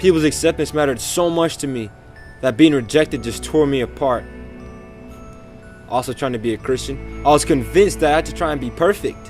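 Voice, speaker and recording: A man talking at a fairly quick pace with long, frequent pauses, music playing in the background. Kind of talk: spoken word poem, personal testimony.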